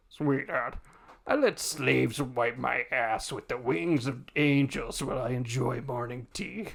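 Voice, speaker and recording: A man speaks at a medium pitch in a put-on character voice. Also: fairly slow pace. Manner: smug, indulgent.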